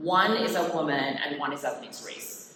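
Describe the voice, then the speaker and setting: With a slight Jamaican accent, a woman speaks at a moderate pace in a fairly low voice, and audible room echo surrounds her. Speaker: education researcher and professor. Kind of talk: presidential address. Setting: convention stage with audience.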